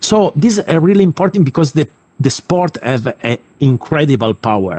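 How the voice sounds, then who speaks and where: An Italian accent at a moderate pace. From Italy. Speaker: sports academy representative, former kickboxer. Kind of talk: invited talk. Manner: halting, many fillers.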